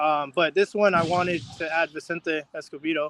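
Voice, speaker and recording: A man speaks in a high pitch with a bright, sharp tone. His pitch variation is ordinary. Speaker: boxer. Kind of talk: casual interview. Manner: hesitant, many fillers.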